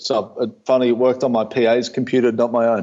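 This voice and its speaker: Against a quiet background, a man talks with an Australian accent. His pace is fairly quick. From Australia, Melbourne. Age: 30s. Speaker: company founder. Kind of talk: podcast interview. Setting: video call.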